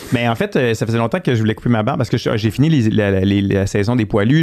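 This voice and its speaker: A man at a medium pitch, with ordinary pitch variation over noticeable background noise. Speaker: veterinarian. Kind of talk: casual interview chat. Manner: loud.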